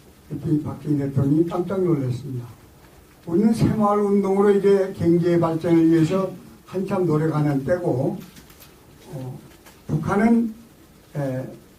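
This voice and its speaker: A man's high-pitched voice with ordinary pitch variation, amid noticeable background noise and audible room echo. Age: 70s. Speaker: lecturer, former intelligence official. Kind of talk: lecture. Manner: halting, many fillers.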